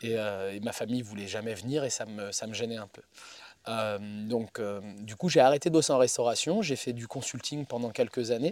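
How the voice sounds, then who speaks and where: A man speaks at a moderate pace. His pitch sits in the middle range, with ordinary variation. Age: 40s. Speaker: chef and pizza maker. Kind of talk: casual interview. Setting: outdoors in the woods.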